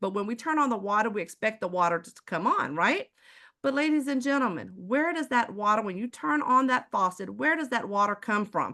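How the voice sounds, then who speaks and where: Against a quiet background, a woman with an American accent speaks in an animated, bright, sharp tone at a fairly high pitch, with very wide pitch swings and a fairly quick pace. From Texas, Houston. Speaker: sales presenter. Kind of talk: sales pitch.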